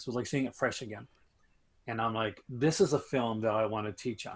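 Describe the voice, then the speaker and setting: A man with a Canadian accent and ordinary pitch variation. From Canada. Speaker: film enthusiast, aspiring film teacher. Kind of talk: casual chat. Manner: halting, many fillers.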